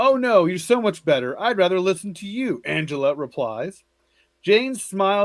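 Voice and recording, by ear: Someone is reading aloud in a natural voice, with lively intonation. The background is quiet.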